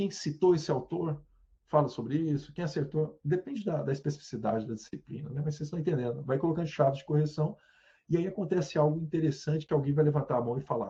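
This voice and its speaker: A man talks at a very fast clip in a fairly high, somewhat breathy voice with a dark, mellow tone and ordinary pitch variation. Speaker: university professor. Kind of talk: lecture. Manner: animated.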